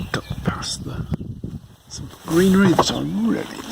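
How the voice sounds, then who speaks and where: A soft-spoken man at a very slow pace, with noticeable background noise. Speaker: car owner making a repair update. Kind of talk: casual talk to camera. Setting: outdoors, with wind noise. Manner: soft-spoken, quiet.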